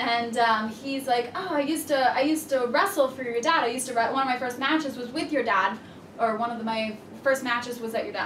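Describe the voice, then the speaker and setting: A woman with an American accent talks at a fairly quick pace in a high pitch, with ordinary pitch variation. There is audible room echo and light background noise. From central Florida. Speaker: professional wrestler; interviewee. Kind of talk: interview. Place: office. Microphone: camera far.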